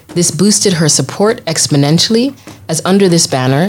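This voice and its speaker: Noticeable noise sits behind speech that moves at a moderate tempo with ordinary pitch variation. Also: woman. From southwest Uganda. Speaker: guest narrator. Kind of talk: storytelling narration. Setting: studio.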